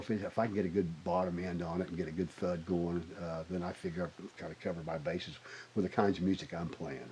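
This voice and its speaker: With a Southern US accent, a man talks at a fairly quick pace in a very deep, low voice. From Arkansas (Springdale). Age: 60s. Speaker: bass player. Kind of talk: interview conversation. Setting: recording studio. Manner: halting, many false starts.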